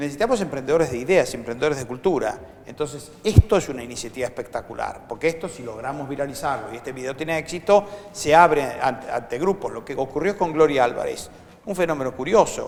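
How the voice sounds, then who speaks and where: Talking very fast with a Rioplatense accent, a man with a fairly high voice uses lively intonation and big swings in loudness over noticeable background noise. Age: 60s. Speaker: economist and nonprofit founder. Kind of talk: interview.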